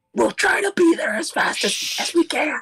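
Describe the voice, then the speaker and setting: This put-on character voice sits at an extremely high pitch. It moves along at a moderate pace. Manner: loud stage whisper.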